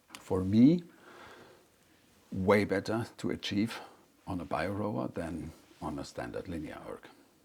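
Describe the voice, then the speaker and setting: A man speaks fairly slowly in a very deep, low voice with vocal fry and long, frequent pauses. His intonation is lively and his loudness swings widely. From Germany. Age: 60s. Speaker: medical doctor. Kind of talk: interview. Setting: workshop.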